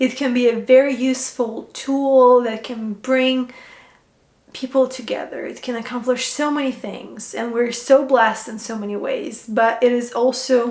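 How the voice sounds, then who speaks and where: A woman speaks at a moderate pace in a Ukrainian accent, her pitch high. Her intonation stays flat and monotone while her loudness swings widely. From Ukraine. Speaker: functional medicine health coach. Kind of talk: personal story vlog. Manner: hesitant with fillers.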